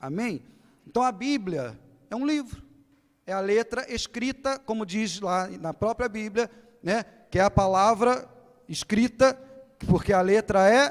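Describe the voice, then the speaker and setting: Very slow speech from a man, high-pitched and lively in intonation. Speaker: pastor. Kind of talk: sermon. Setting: church. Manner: animated.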